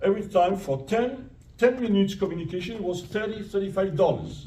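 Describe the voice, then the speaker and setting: A man speaks with an Italian accent. Audible room echo surrounds his voice. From Italy, then France from age nine. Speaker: retired professor. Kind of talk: audience Q&A narrative. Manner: halting, many repetitions.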